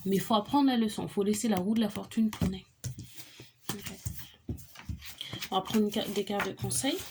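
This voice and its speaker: Somewhat breathy, a woman speaks at a medium pitch with ordinary pitch variation and a dark, mellow tone. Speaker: tarot reader. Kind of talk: tarot reading monologue. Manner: fast; halting.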